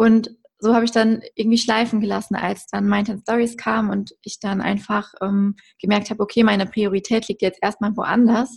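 A woman speaks at a fairly high pitch in a somewhat breathy voice. Her intonation is monotone and flat. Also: moderate pace, quiet background. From Germany, Westerwald. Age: 20s. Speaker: content creator and entrepreneur. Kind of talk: podcast interview.

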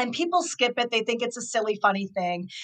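At a moderate pace, a woman uses a normal speaking voice with fairly high pitch and lively intonation. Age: 50s. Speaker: author and inclusion consultant. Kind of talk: interview.

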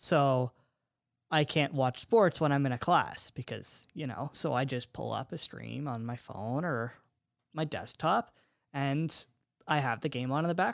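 A man with fairly high pitch, an ordinary speaking voice and ordinary pitch variation, in a very clean recording with a silent background and a dry, close sound with no echo. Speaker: soccer podcast co-host, university student. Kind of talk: casual chat.

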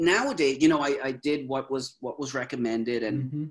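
A man talks at a very fast pace in a Canadian accent. His pitch is fairly high. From Canada. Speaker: mental health speaker. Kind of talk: interview.

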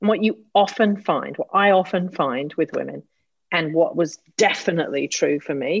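With a British accent, a woman speaks at a fairly low pitch with vocal fry and lively intonation. Her moderate pace comes through with a dry, close sound and no echo. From Britain. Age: 50s. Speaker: executive coach. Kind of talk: casual chat. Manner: animated.

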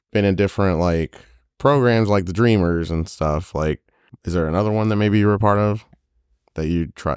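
With ordinary pitch variation, a man talks in a very deep, low pitch. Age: 30s. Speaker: podcast host. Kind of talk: casual chat.

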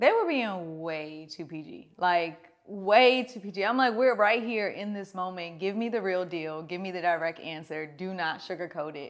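A woman with a medium pitch speaks in an animated tone at a moderate pace. Her pitch variation is ordinary, and she leaves hardly any pauses. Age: 30s. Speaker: podcast host and entrepreneur. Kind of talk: family therapy conversation.

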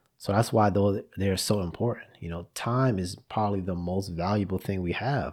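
In a very clean recording with a silent background, a man with a fairly low voice speaks at a moderate pace with hardly any pauses, ordinary pitch variation, and an ordinary speaking voice. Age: 30s. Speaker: podcast host. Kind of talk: solo monologue. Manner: conversational.

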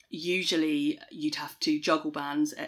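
The speaker has a southern English accent and ordinary pitch variation. The recording is very clean, with a silent background. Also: woman. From Kent, southeast England. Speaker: tour manager. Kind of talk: interview conversation. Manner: hesitant, many fillers.

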